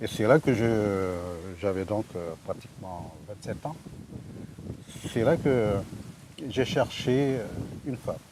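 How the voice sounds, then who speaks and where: At a very slow pace, a man with a fairly low voice speaks with ordinary pitch variation and long, frequent pauses. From French Guiana (Amerindian, born Yalimapo, raised Saint-Laurent). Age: 60s. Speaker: village resident, trainer. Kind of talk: casual interview. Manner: hesitant, many fillers.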